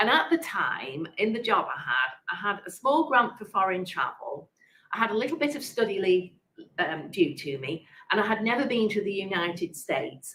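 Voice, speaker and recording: With an English accent, a woman speaks at a medium pitch and a moderate pace. Her pitch swings very widely. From England, Manchester. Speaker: prioress of a monastery. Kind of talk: interview conversation. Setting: online interview event. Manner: halting.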